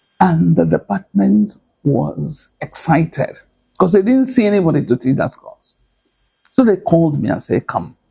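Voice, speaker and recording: A man at a moderate pace with a Nigerian accent. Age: 80s+. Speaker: lecturer and author. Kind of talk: interview answer.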